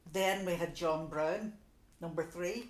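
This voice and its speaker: With a Donegal accent and a fairly low pitch, a woman speaks at a very slow pace amid audible room echo. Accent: Donegal Irish. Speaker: local resident sharing memories. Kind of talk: oral history interview. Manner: conversational, many fillers.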